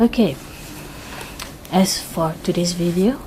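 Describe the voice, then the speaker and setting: With noticeable background noise, a woman speaks fairly slowly in a Malaysian accent, her pitch fairly low. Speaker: YouTuber, K-pop fan. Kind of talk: unboxing vlog. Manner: hesitant, many fillers.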